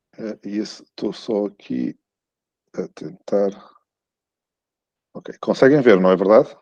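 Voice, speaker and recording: A man with a European Portuguese accent speaks very slowly in a fairly low, dark, mellow voice with lively intonation, big swings in loudness, and long, frequent pauses, in a dry, close sound with no echo. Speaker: law professor. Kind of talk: academic lecture. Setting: video call into a conference. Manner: halting, many fillers and repetitions.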